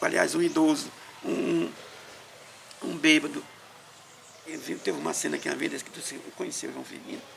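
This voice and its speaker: Noticeable background noise runs under a man who talks at a fairly quick pace. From Maranhão, Brazil. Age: 60s. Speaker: elderly interviewee telling life story. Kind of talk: oral history interview. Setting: at his home.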